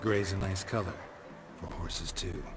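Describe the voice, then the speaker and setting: A man performs a put-on character voice pitched fairly low. Loud background noise is present throughout. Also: moderate pace. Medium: machinima. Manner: terse, deadpan.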